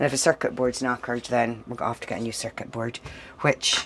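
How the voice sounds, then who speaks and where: This is a woman speaking. She has a northeast Scottish accent. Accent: northeast Scottish (Doric). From Scotland, Doric-speaking northeast. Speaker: vlogger. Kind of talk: casual vlog chat.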